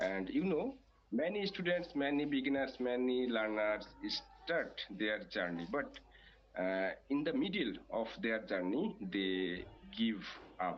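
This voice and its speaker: A man speaks with a Bangladeshi accent and a fairly high pitch. His pitch swings very widely. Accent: non-native, Bangladeshi. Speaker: English learner. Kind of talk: interview. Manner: halting, many fillers.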